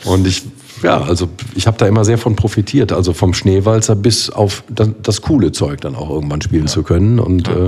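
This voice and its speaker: A man speaks at a fairly quick pace with a fairly low pitch and ordinary pitch variation. Noticeable background noise runs under his voice. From Rhineland, Germany (Bergisch Gladbach near Cologne). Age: 40s. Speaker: carnival band keyboardist. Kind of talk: casual chat.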